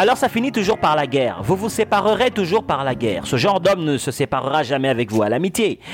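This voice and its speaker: Over background music, a man with a fairly high pitch talks very fast with hardly any pauses, his pitch swinging very widely. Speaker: radio host. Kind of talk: angry rant, preachy monologue lecturing about resentful men. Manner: indignant, emphatic, hammering points with repetition; didactic, addressing listener directly with rhetorical questions.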